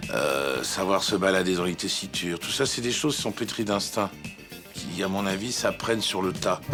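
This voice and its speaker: Over music in the background, a man with a fairly low pitch speaks at a fairly slow pace with ordinary pitch variation. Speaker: voice actor. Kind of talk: interview answer.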